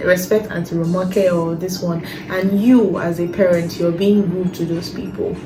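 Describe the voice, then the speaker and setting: Medium pitch from a woman with fairly even intonation, plus audible room echo and noticeable background noise. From Nigeria. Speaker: lifestyle vlogger. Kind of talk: casual talk to camera.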